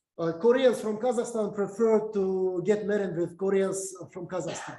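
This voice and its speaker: A man with a Russian accent speaks in a high voice with fairly even intonation. Audible room echo fills the recording. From Uzbekistan. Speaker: university lecturer. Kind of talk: lecture. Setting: video call. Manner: halting, many fillers.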